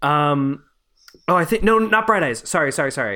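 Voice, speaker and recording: A man with a Canadian accent speaks in a bright, sharp tone with very wide pitch swings, on a very clean recording with a silent background. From Montreal, Canada. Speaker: podcast host. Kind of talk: casual chat, film podcast interview.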